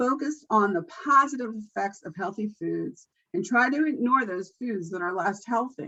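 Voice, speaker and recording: A woman speaks at a moderate pace in an ordinary speaking voice. Her intonation is lively, with big swings in loudness. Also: fairly high pitch for a woman. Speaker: nutrition educator. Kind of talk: training presentation.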